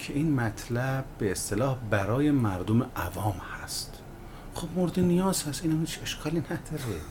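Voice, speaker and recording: The voice makes very wide pitch swings amid audible room echo and noticeable background noise. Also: man, medium pitch for a man, moderate pace. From Iran, Malayer (Hamadan province). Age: 40s. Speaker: web entrepreneur, company founder. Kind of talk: interview.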